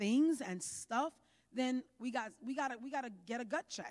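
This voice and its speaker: A woman with an American accent speaks in a high pitch with lively intonation and an animated tone. The background is quiet. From New York. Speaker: pastor. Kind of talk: sermon. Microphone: handheld.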